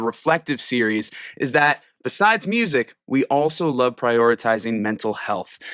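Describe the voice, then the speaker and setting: A man speaks with lively intonation and an animated tone on a very clean recording with a silent background and a dry, close sound with no echo. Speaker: podcast host. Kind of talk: casual interview.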